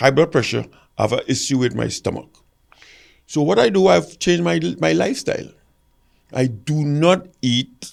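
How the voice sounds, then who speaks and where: A man talks at a fairly quick pace in a fairly high pitch with very wide pitch swings and long, frequent pauses. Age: 70s. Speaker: retired athlete, gold medalist. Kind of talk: podcast interview.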